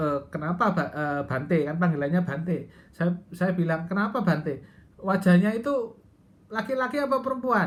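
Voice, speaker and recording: At a moderate pace, a woman with a somewhat breathy, fairly low voice makes very wide pitch swings. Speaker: Buddhist transgender vlogger. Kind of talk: personal testimony. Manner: hesitant, many fillers.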